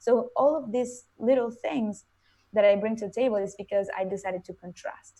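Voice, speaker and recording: In a Venezuelan accent, a woman speaks at a moderate pace with a fairly high pitch, a dark, mellow tone, ordinary pitch variation and big swings in loudness. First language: Spanish. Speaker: motivational speaker. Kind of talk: interview.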